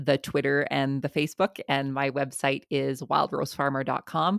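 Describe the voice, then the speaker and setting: A woman with a Canadian accent and a very deep, low pitch speaks at a moderate pace with vocal fry, in a very clean, silent recording with a dry, close sound and no echo. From southern Alberta, Canada. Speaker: farmer and podcaster. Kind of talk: interview.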